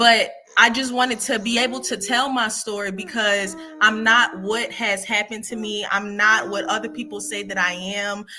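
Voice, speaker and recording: The speaker moves at a moderate pace with ordinary pitch variation against noticeable background noise. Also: woman, fairly high pitch for a woman. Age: 20s. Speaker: contributing author. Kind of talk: testimony. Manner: halting.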